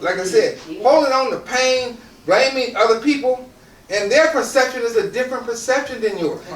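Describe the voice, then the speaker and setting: Through audible room echo and noticeable background noise, a man talks at an extremely high pitch with ordinary pitch variation. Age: 60s. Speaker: motivational speaker. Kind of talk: motivational talk to audience. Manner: repeats words, some halting starts.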